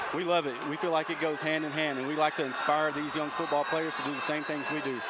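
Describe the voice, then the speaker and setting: A man with an American accent at a very fast pace and a fairly high pitch, monotone and flat, with audible room echo and noticeable background noise. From Texas, Waco. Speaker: marine recruiter. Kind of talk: interview. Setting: football field sideline.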